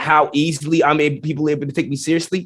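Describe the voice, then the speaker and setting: Animated in tone, a man speaks at a fairly high pitch. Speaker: professor, scientist. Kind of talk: podcast interview.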